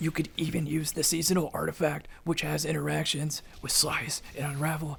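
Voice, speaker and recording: A man puts on a character voice that is raspy and fairly high in pitch. He keeps a moderate pace with monotone, flat intonation. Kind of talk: casual gaming commentary. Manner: whispering, voice kept low.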